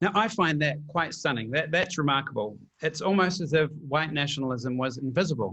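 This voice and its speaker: Talking at a fairly quick pace with a New Zealand accent, a man uses a bright, sharp tone and fairly high pitch, with lively intonation and very even loudness. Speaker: PhD candidate, panelist. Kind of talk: prepared panel talk.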